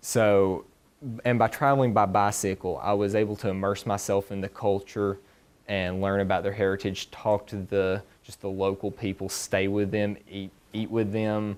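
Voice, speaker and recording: The speech is delivered in a Southern US accent with monotone, flat intonation. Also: man, moderate pace. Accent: very country Southern. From US South, East Tennessee mountains. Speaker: honors student presenting thesis. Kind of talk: research presentation and Q&A.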